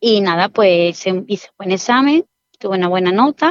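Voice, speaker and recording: A woman's lively intonation comes through in a dry, close sound with no echo. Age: 40s. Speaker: civil servant, former exam candidate. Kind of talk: interview testimony.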